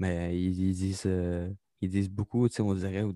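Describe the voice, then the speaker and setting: With a Quebec accent, a man speaks in a fairly low pitch and a dark, mellow tone, the sound dry and close with no echo in a very clean recording with a silent background. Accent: Québécois French. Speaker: podcast co-host, aspiring comedian. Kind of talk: casual chat.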